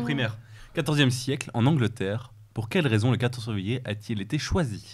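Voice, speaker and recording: A man talks at a fairly quick pace and a medium pitch, sounding somewhat breathy. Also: ordinary pitch variation. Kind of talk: casual TV panel talk.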